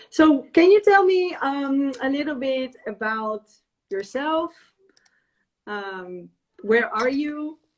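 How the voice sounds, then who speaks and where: A woman speaks at a very slow pace with long, frequent pauses. Her high pitch moves in very wide swings. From Europe. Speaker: podcast host and cookbook author. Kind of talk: live video interview. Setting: live stream video call.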